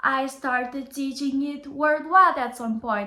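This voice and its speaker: The voice is raised and projected, with a Bulgarian accent, a moderate pace and ordinary pitch variation. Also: woman. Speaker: language teacher. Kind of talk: motivational talk to camera.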